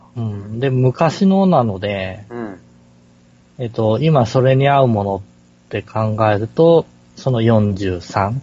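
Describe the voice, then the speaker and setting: Lively intonation marks a man's somewhat breathy, medium-pitched voice as he speaks at a very slow pace. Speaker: podcast co-host. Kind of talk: casual chat. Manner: hesitant, many fillers.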